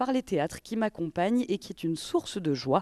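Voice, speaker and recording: A woman's dark, mellow tone in a dry, close sound with no echo. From Marseille, southern France. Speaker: podcast host. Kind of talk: interview.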